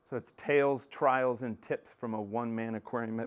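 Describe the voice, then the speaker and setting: A man's animated voice with an American accent. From Texas, north of Dallas. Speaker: aquarium maintenance business owner. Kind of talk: casual presentation. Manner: loud.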